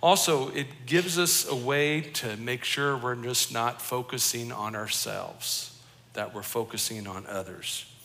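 Fairly slow speech from a man in an American accent, set in audible room echo. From Colorado, US. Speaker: pastor. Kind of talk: sermon.

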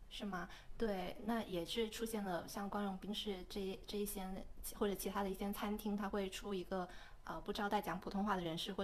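Her medium pitch held in monotone, flat intonation, a woman speaks at a fairly quick pace. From mainland China. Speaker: podcast co-host. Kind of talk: casual chat.

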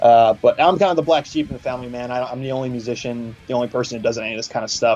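A man's medium-pitched voice in an American accent at a very fast pace, with hardly any pauses, ordinary pitch variation, big swings in loudness and music in the background. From Philadelphia. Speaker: metal musician. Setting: phone call.

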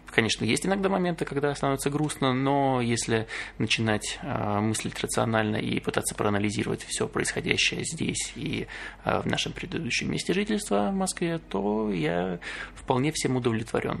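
At medium pitch and a moderate pace, a man's voice makes very wide pitch swings amid noticeable background noise. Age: 20s. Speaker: podcast co-host, IT worker. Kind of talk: casual chat.

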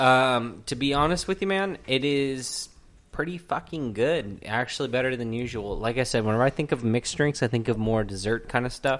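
This man has an unremarkable speaking voice at a medium pitch. He keeps a moderate pace with ordinary pitch variation. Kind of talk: casual chat over drinks.

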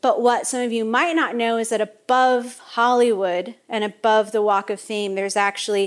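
A woman with a normal speaking voice talks at a moderate pace and a fairly high pitch, with fairly even intonation. The recording is very clean, with a silent background. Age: 30s. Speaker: baker and cookbook author. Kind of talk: author talk to live audience. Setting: shop kitchen with audience.

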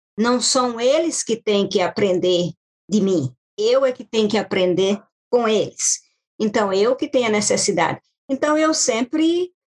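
Delivery is fairly slow. Pitch swings very widely from high to low. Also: woman, fairly high pitch for a woman. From Brazil, Maranhão (Baixada Maranhense). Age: 40s. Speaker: caregiver and domestic assistant. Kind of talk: podcast interview. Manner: halting.

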